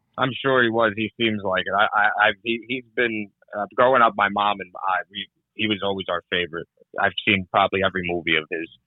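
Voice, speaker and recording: A normal speaking voice moves at a fairly quick pace with an American accent. Intonation is fairly even, while loudness swings widely. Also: man, fairly low pitch for a man. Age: 20s. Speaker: stand-up comedian and impressionist. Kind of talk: casual interview.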